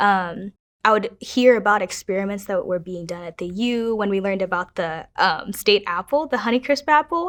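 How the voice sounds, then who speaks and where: With a Midwestern accent and a medium pitch, a woman speaks at a moderate pace with hardly any pauses, lively intonation and big swings in loudness, in a very clean recording with a silent background. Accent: American Midwest. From Kenya, raised in Minnesota from age 8. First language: Kiswahili. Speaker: university student. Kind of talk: personal testimony interview.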